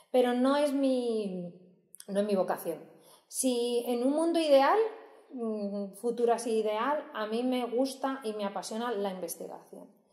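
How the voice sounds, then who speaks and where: A woman with a high voice talks at a fairly slow pace and ordinary pitch variation, and the room echo is audible. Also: quiet background. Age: 30s. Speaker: nursing professor. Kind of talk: casual interview. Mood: relaxed, chatty, animated. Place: hall.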